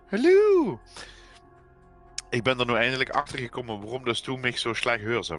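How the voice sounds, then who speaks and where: With a Limburg accent, a man speaks with long, frequent pauses while music plays in the background. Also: medium pitch for a man, ordinary pitch variation, moderate pace. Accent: Limburgish dialect. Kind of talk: casual gaming livestream chat.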